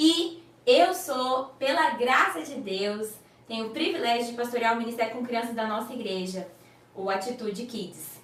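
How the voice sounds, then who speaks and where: A woman with a slight Goiás accent speaks at a moderate pace and a high pitch, her warm tone shaped by lively intonation. Audible room echo and noticeable background noise come through. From Brazil, Goiás. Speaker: children's pastor. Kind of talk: online teaching class for children's ministry leaders. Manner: warm, conversational, addressing audience directly.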